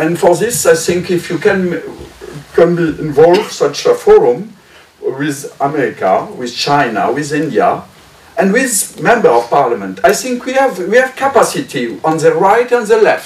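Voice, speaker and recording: Speaking with a French accent at a moderate pace, a man uses a high pitch that swings very widely against noticeable background noise. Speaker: member of European Parliament. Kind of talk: roundtable audience comment. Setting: press club roundtable. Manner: halting.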